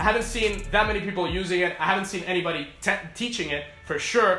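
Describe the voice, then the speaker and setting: Over faint background music, a man speaks very fast in a raised, projected voice, with audible room echo. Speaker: e-commerce coach. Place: home room.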